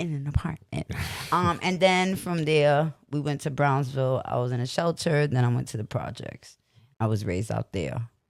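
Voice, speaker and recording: The speaker talks at a moderate pace. The voice carries a Brooklyn accent. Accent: New York (Brooklyn). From Brooklyn, New York. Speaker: podcast co-host. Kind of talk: casual chat. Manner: animated.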